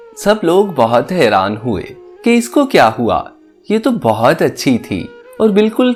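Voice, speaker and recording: A man's voice swings very widely in pitch. Music plays in the background. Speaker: voice over artist. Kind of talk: sad story narration. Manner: emotional.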